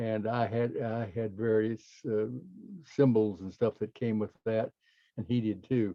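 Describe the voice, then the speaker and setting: Pausing long and often, a man talks at a fairly slow pace in a medium pitch with monotone, flat intonation. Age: 80s+. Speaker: meditation teacher. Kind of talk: group discussion. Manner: halting.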